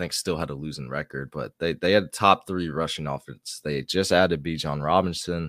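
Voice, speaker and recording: A man with a very deep, low pitch and vocal fry talks at a fairly quick pace with hardly any pauses and fairly even intonation. The recording is very clean with a silent background and a dry, close sound with no echo. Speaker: sports podcast co-host. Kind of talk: casual chat.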